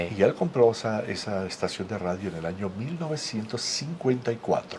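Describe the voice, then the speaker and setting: Noticeable background noise runs under a man's medium-pitched voice. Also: lively intonation, moderate pace. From Venezuela. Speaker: radio and TV host. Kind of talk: interview conversation. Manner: hesitant with fillers.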